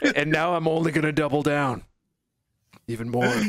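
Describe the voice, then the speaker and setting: A man's fairly high, put-on character voice. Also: fairly quick pace. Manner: exaggerated, doubling down.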